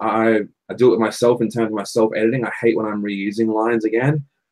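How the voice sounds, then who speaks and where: A man's medium-pitched voice with an Australian accent, fairly quick and monotone, with flat intonation. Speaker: songwriter and podcast co-host. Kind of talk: casual chat.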